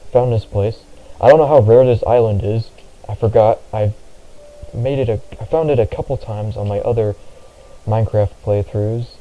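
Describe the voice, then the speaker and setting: A man mumbles at a moderate pace and medium pitch with ordinary pitch variation, taking long, frequent pauses amid noticeable background noise. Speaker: gaming vlogger. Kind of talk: casual gameplay commentary. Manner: mumbling. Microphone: poor-sounding mic.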